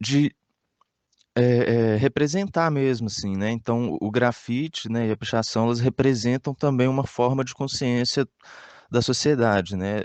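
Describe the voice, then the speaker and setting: Here a man speaks at a fairly slow pace. His pitch is medium, with ordinary variation. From Brazil, Minas Gerais (Belo Horizonte area). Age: 20s. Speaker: graffiti artist. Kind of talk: interview answers. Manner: halting, many fillers and repetitions.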